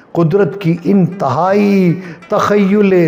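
A man is talking. Music plays faintly behind him. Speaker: poetry reciter. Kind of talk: poetry reading. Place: home room. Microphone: lapel.

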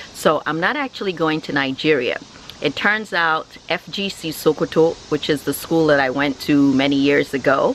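A woman speaks with a very deep, low pitch. The sound is dry with no echo, with light background noise. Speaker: family vlogger. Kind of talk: casual vlog chat. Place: garden. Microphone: phone near.

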